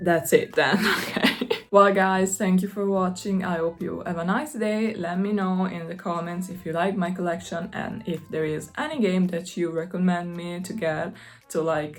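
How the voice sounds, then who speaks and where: Over noticeable background noise, a woman at a medium pitch speaks at a moderate pace with an Italian accent and ordinary pitch variation. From Italy. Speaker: gaming YouTuber. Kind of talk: casual vlog talk.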